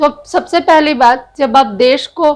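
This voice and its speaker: A woman speaks. Her intonation is lively. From Bihar, India. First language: Bhojpuri (speaking Hindi). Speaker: political commentator, video blogger. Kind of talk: opinion monologue. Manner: animated.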